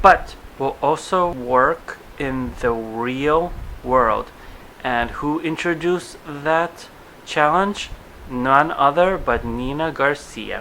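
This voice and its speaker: Noticeable background noise sits behind a man speaking at a very slow pace and fairly high pitch, with ordinary pitch variation. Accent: Russian. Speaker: vlogger. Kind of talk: TV episode review vlog. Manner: casual, chatty.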